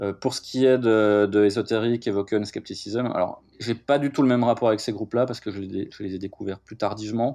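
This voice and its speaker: Against a quiet background, a man with a dark, mellow tone and medium pitch speaks fairly quickly with hardly any pauses. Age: 40s. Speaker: metal musician and podcast host. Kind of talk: interview. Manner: halting.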